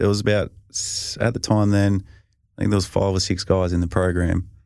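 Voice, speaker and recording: A man with a strong Australian accent speaks at a moderate pace in a very deep, low pitch. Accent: broad Australian. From rural Victoria, Australia. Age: 30s. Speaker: professional football punter. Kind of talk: casual interview chat.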